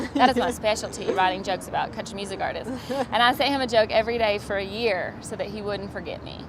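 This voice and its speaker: Talking at a very fast pace with a Southern US accent, a woman with a fairly high pitch keeps her intonation fairly even while her loudness swings widely, all over noticeable background noise. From US South, Georgia. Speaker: stand-up comedian. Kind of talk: interview, comedic storytelling. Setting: comedy festival interview.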